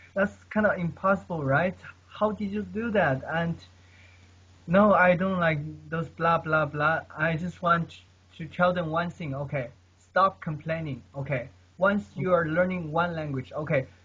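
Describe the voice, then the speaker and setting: A man with a non-native accent speaks fairly slowly in a high, bright and sharp voice with ordinary pitch variation. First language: not English. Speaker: polyglot, language learner. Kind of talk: casual chat. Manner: halting.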